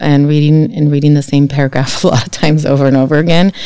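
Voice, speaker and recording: This speaker has a dark, mellow tone and a Spanish accent. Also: woman. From California Central Coast (Guadalupe), Mexican-American family. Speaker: college trustee. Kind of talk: interview.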